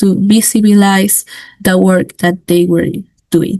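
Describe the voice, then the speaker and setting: Very slowly, a woman with a Spanish accent speaks in a somewhat breathy, medium-pitched voice with flat, monotone intonation. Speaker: student and women-in-science initiative founder. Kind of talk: webinar presentation. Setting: online webinar. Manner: halting, many fillers.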